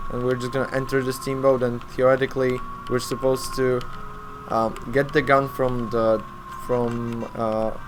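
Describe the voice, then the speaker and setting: Speech comes at a moderate pace. Noticeable background noise runs underneath it. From Poland. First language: Polish. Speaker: speedrunner. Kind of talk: live gameplay commentary. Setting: live charity stream. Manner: halting.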